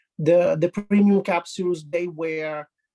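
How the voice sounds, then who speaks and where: A man talks at a high pitch with an Italian accent and fairly even intonation. The sound is dry and close with no echo, and music plays in the background. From Italy. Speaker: health professional. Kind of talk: testimony. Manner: halting.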